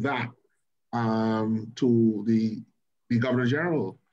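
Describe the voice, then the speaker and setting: An unremarkable speaking voice from a man, fairly even in intonation and fairly slow in pace. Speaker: lawyer. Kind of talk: round-table panel discussion. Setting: video call. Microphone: video call.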